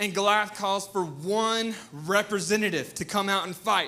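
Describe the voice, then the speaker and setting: With a Southern US accent, a man uses a raised, projected voice, high in pitch with a bright, sharp tone. He keeps a moderate pace and ordinary pitch variation, and room echo is audible. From US South. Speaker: pastor. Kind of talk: sermon. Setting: church. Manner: animated.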